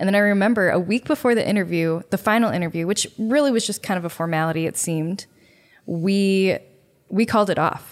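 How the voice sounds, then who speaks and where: In an American accent, a woman speaks at a fairly quick pace in a normal speaking voice, on a very clean recording with a silent background. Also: medium pitch for a woman, ordinary pitch variation. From US Midwest, Chicago north suburbs. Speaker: podcast co-host, small business owner. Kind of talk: casual chat.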